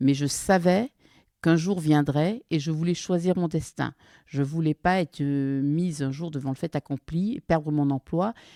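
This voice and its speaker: Recorded very cleanly against a silent background with a dry, close sound and no echo, a woman with a very deep, low pitch and a dark, mellow tone speaks at a moderate pace with ordinary pitch variation. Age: 60s. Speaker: forestry worker, former pharma executive. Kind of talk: interview testimony.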